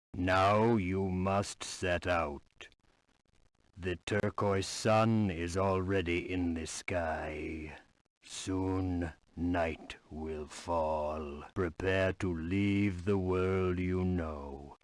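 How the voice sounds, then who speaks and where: In a put-on character voice, a man speaks at a very slow pace with a very deep, low pitch, recorded very cleanly with a silent background. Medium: video game. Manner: earnest, brief.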